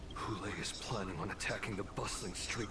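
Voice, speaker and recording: A man in a put-on character voice talks at a fairly quick pace over loud background noise. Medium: game stream. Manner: urgent.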